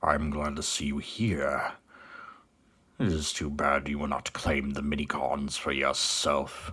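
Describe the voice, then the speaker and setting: Putting on a raspy character voice, a man speaks at a fairly slow pace with a very deep, low pitch. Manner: imposing, formal.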